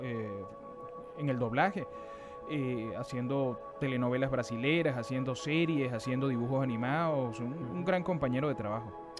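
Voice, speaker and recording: With music playing in the background, a man speaks at a moderate pace, his fairly high voice carrying lively intonation. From Venezuela. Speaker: voice actor. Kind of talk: interview answer.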